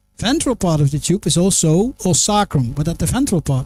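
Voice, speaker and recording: A speaker with a Dutch accent talks at a moderate pace. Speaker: pediatric anesthesiologist. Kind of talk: lecture. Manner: halting.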